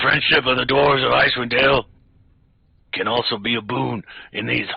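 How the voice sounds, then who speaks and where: Using a put-on character voice, a man talks at a fairly quick pace in a raspy tone at medium pitch. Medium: actual play. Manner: gruff, blunt.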